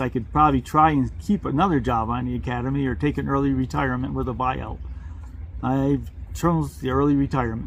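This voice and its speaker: A man talks at a fairly quick pace. Noticeable background noise can be heard behind him. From Vermont. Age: 70s. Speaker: retired civil engineering manager, travel vlogger. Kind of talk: casual interview chat.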